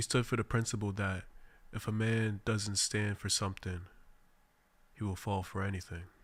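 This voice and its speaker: A somewhat breathy, fairly low-pitched man's voice with an American accent, monotone and flat, at a moderate pace with long, frequent pauses, in a very clean recording with a silent background. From Boston, Mattapan. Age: 20s. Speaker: radio host. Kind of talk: radio monologue. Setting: radio studio. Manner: formal.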